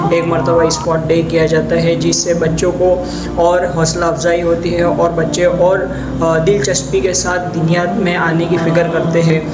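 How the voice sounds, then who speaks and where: A high-pitched male voice in a flat monotone, very even in loudness, over noticeable background noise. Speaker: Islamic religious teacher. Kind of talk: promotional appeal for a religious school.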